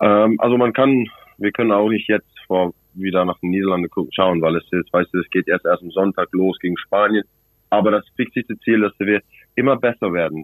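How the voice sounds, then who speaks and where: Moderate pace, an English accent, and ordinary pitch variation. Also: man, fairly low pitch for a man. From South Africa, Cape Town. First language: English (speaking German). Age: 20s. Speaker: rugby player. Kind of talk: phone interview. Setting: phone call. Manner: halting.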